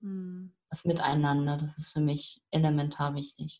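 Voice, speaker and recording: A woman speaks in a somewhat breathy voice. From northern Germany. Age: 50s. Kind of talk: interview.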